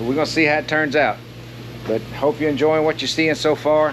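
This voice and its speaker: The speaker is male. Background noise is noticeable throughout. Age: 60s. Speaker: hobby metal fabricator. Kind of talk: tutorial. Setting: home workshop. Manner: casual, halting with fillers.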